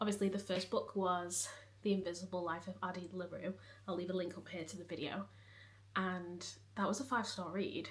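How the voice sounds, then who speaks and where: A woman's fairly quick, somewhat breathy delivery. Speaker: book vlogger. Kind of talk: casual vlog chat.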